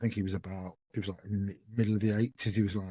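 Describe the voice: A man with a fairly low pitch, a dark, mellow tone and a slightly husky edge talks at a very fast pace with little pitch movement.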